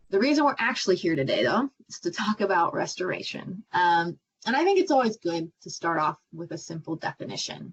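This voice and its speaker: A somewhat breathy woman with an American accent, medium pitch, very wide pitch swings, big swings in loudness and hardly any pauses. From US Midwest, Iowa. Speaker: marine scientist, PhD student. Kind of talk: presentation to young audience. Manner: casual, many fillers.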